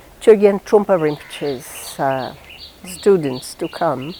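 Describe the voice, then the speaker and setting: Against noticeable background noise, a woman with a fairly low pitch speaks at a fairly slow pace with ordinary pitch variation. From northeast Brazil. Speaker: diplomat. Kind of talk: interview.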